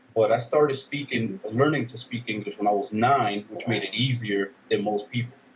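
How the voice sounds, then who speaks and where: A man in a New York accent speaks at a moderate pace and medium pitch, somewhat breathy. He takes hardly any pauses and uses ordinary pitch variation. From Dominican Republic and Brooklyn, New York. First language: Spanish. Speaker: army veteran. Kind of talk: interview. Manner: casual, halting with fillers.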